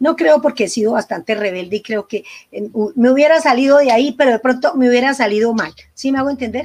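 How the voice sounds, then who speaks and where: A woman with an unremarkable speaking voice talks at a fairly high pitch. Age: 60s. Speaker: psychologist and couples therapist. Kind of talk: interview conversation.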